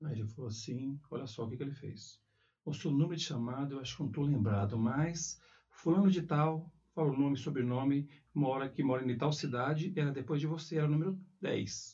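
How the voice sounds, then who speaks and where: A man's somewhat breathy voice, with a dark, mellow tone and a fairly high pitch, moves at a fairly quick pace. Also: ordinary pitch variation. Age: 40s. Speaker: school principal. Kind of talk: interview. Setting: school.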